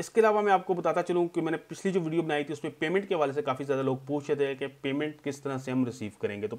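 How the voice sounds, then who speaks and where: At a moderate pace, a man with a Pakistani accent talks in a fairly high voice with ordinary pitch variation. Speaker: tech YouTuber. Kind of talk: tutorial. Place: home room.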